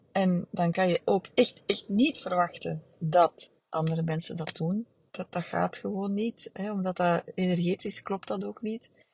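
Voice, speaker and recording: A woman's medium-pitched, somewhat breathy voice at a fairly slow pace, hardly any pauses, fairly even intonation, and a dry, close sound with no echo. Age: 40s. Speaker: therapist. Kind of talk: solo podcast monologue. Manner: halting, many fillers.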